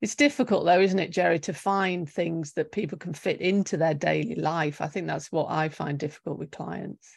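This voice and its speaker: A woman's fairly low voice with vocal fry, at a moderate pace with hardly any pauses, over a quiet background. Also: ordinary pitch variation. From UK. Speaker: nutritional therapist. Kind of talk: interview.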